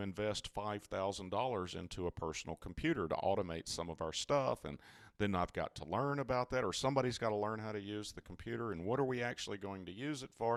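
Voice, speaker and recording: This man's voice sits at a fairly low pitch and moves at a fairly quick pace. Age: 60s. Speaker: cybersecurity company CEO. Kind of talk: interview. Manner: halting.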